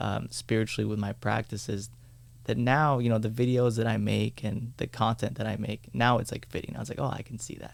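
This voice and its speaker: In a very clean recording with a silent background, a man speaks at a fairly quick pace. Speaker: meditation teacher. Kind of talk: casual chat.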